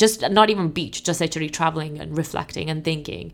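Talking at a very fast pace, a woman uses lively intonation and a fairly low pitch with vocal fry. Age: 30s. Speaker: entrepreneur. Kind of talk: casual chat.

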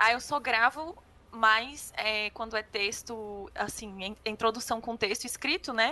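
Talking at a very slow pace, a woman uses a fairly high pitch with ordinary pitch variation. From Brazil, Gama (Federal District). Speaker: government podcast producer. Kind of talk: casual chat.

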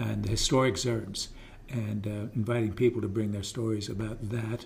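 With an American accent, a man talks at a moderate pace in a somewhat breathy, medium-pitched voice. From southeastern Pennsylvania, rural. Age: 70s. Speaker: local historian and writer. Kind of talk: casual interview.

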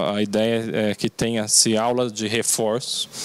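Background noise is noticeable behind a man's speech. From Brazil, Mogi das Cruzes (São Paulo state). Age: 30s. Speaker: mayoral candidate, lawyer. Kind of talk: political interview.

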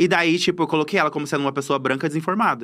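The recording is very clean, with a silent background. A man speaks in an unremarkable speaking voice, fairly high in pitch with ordinary variation. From Cuiabá, Mato Grosso, Brazil. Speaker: content creator and comedian. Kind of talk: casual interview chat. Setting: studio.

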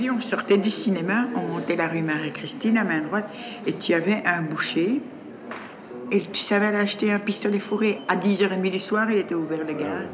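Amid noticeable background noise and audible room echo, a woman talks at a medium pitch and moderate pace with ordinary pitch variation. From Brussels, Laeken. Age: 60s. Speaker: resident. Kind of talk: casual chat.

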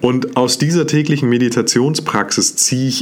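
An animated man's voice amid noticeable background noise. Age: 30s. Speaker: self-development podcast host. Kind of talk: motivational monologue.

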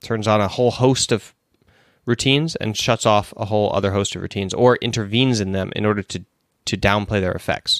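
An unremarkable speaking voice, a man's, sits at a fairly low pitch and moves at a fairly quick pace. The sound is dry and close with no echo, on a very clean recording with a silent background. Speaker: sport psychology trainer and esports coach. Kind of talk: casual talk show, answering listener questions. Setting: live stream show. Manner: informal, conversational.

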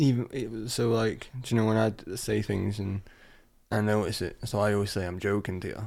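This man has a normal speaking voice, fairly low in pitch with fairly even intonation. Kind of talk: casual chat.

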